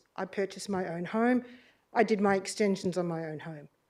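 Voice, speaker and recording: A woman speaks with an Australian accent. Her tone is dark and mellow, with fairly even intonation. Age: 60s. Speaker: community member addressing council. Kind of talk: public deputation speech. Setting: council meeting chamber, live streamed. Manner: unscripted, heartfelt.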